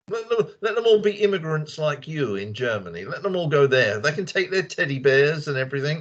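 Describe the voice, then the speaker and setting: A man with a London accent talks at a fairly quick pace with hardly any pauses, his fairly high pitch swinging very widely. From England, London. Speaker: native English speaker in a conversation club. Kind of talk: casual group chat. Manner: animated.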